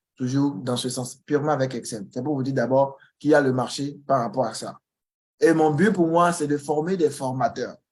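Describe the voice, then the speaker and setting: With a Beninese accent, a man speaks at a moderate pace using ordinary pitch variation. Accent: Beninese accent, noticeable to Ivorians. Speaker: Excel trainer. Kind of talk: online information session. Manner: halting, with repetitions.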